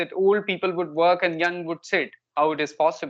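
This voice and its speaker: Spoken with a north Indian accent against a quiet background. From India, Kanpur, Uttar Pradesh. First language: Hindi. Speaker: English learner, spoken English tutor. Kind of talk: casual conversation practice.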